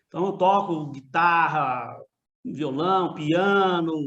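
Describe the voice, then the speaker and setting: A man with a Minas Gerais accent speaks at a high pitch with ordinary pitch variation, with audible room echo around him. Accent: mineiro. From Minas Gerais, Brazil. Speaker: university professor. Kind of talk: lecture. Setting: video call; home studio. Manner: casual, conversational.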